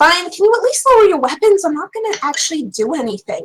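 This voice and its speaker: A woman uses a put-on character voice that is squeaky and extremely high. She talks very fast with very wide pitch swings. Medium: actual play. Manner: defiant, sharp-tongued.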